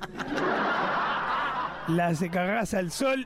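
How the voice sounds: Lively intonation in a natural reading voice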